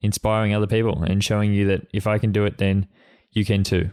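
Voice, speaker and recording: Fairly quick speech from a man with an Australian accent and a fairly low pitch. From Australia, Sydney. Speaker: podcast host, freelance photographer. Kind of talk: solo podcast monologue. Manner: halting, with repetitions and fillers.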